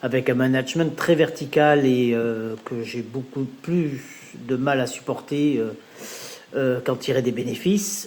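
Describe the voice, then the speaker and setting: A man's medium-pitched voice at a very slow pace with ordinary pitch variation, over noticeable background noise. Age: 60s. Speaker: customer testimonial, regional training director. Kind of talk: testimony. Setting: home, in front of fridge. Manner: hesitant with many fillers.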